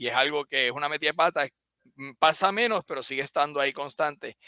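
A man talks at a very fast pace with a fairly high pitch and ordinary pitch variation. His tone is bright and sharp, and the sound is dry and close with no echo. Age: 50s. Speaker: biomedical engineer and company CEO. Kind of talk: interview. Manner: halting, many repetitions.

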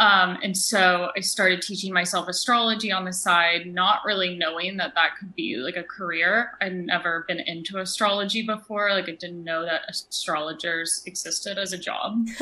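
At a moderate pace and a medium pitch, a woman talks with hardly any pauses and fairly even intonation over noticeable background noise. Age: 20s. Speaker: astrologer. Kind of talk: casual interview.

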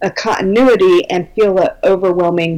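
A normal speaking voice with an American accent moves at a moderate pace, its intonation lively. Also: woman. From Minnesota, US Midwest. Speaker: belly dance business teacher. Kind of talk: casual interview, informative.

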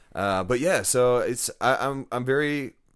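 On a very clean recording with a silent background, a man speaks with a Texas accent. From Texas, Dallas area. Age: 30s. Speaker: podcast host and realtor. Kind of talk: casual chat.

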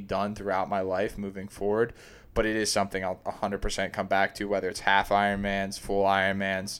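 A man talks at a fairly low pitch and a fairly quick pace. The recording is very clean, with a silent background. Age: 20s. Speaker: podcast co-host, amateur triathlete. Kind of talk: casual chat.

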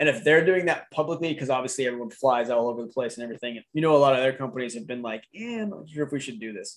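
A man with an American accent speaks at a very fast pace with hardly any pauses, his pitch medium. His intonation is lively, and his loudness swings widely. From Idaho. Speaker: podcast host. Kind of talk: casual political chat.

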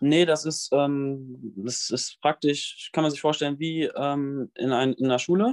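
A man's fairly high voice, very slow, with fairly even intonation and a dry, close sound with no echo. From western Germany, near Bonn. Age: young. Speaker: fitness influencer, trainee physiotherapist. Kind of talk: interview. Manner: hesitant, many fillers.

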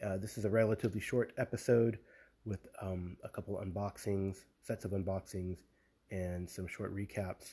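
Recorded very cleanly against a silent background, a man speaks with a dark, mellow tone, a fairly low pitch, somewhat breathy delivery and fairly even intonation. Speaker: tabletop gaming podcast host. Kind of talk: casual podcast monologue. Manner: hesitant, many fillers.

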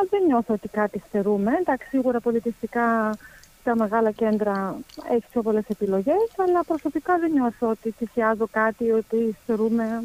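At a moderate pace, a woman with a fairly high pitch speaks with lively intonation, in a dry, close sound with no echo. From Germany. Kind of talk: interview. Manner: hesitant.

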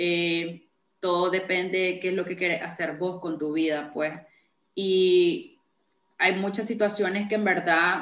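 A woman's very slow, monotone, flat delivery at medium pitch, with long, frequent pauses. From Nicaragua. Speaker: podcast host. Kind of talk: interview.

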